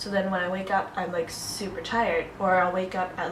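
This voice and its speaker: Through noticeable background noise and audible room echo, a woman with an American accent speaks at a fairly quick pace in a flat monotone at medium pitch. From New England, US (Newton, Massachusetts). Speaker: beauty vlogger. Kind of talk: casual chat.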